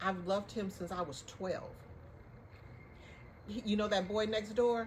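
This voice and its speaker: An animated woman at a moderate pace, with noticeable background noise. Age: 60s. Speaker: podcast co-host. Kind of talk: casual chat.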